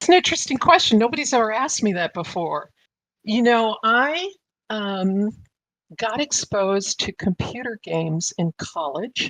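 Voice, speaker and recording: In a dry, close sound with no echo and a quiet background, a woman speaks at a moderate pace in a fairly high pitch with very wide pitch swings. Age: 60s. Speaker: business executive and mother of esports casters. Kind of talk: interview.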